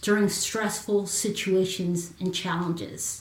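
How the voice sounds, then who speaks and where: A woman speaks very slowly against noticeable background noise. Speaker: Marine Corps veteran and confidence coach. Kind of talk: casual chat. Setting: live video stream.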